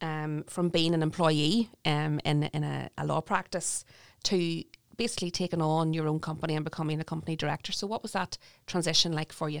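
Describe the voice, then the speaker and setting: Dry and close with no echo, a woman's very deep, low voice moves at a fairly quick pace. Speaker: podcast host. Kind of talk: interview.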